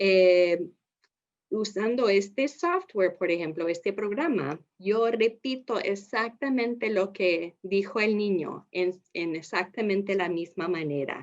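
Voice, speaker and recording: Speaking very slowly, a woman with a non-native accent keeps to a medium pitch. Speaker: speech-language therapist, trainer. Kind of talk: lecture. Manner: halting.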